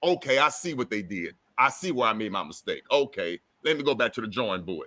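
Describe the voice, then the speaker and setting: At a very fast pace, a man with a medium-pitched voice and a bright, sharp tone makes very wide pitch swings. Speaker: livestream host. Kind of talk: casual chat.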